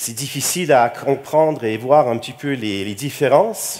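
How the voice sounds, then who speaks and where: Lively intonation colors a man's speech. He goes at a fairly slow pace. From Quebec, Montreal. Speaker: computing researcher, keynote speaker. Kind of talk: conference keynote. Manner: hesitant, many fillers and repetitions.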